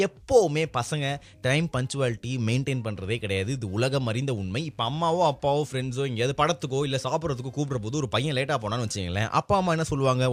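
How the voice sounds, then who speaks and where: Here is a man with a normal speaking voice. He has a medium pitch and ordinary pitch variation. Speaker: radio jockey. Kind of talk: casual radio-style talk to camera.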